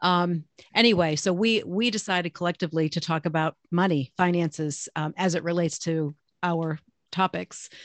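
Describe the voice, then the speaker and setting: Quiet in the background and dry and close with no echo, a woman's voice carries a fairly low pitch, fairly even intonation and a moderate pace. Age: 60s. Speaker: nurse and podcast host. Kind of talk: casual chat. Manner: talkative.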